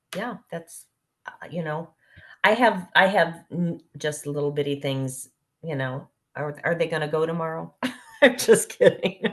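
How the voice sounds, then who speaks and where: A woman speaks fairly slowly in a fairly low pitch with ordinary pitch variation, her loudness swinging widely between long, frequent pauses. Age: 60s. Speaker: parent caregiver of adult son. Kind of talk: virtual town hall discussion.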